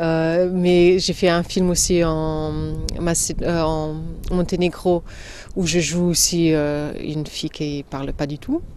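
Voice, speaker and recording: A woman speaks at a very slow pace in a fairly low pitch, her intonation monotone and flat. Noticeable background noise sits under her voice. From Slovenia. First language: Slovene (speaking French). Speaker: actress. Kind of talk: interview. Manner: halting, many hesitations.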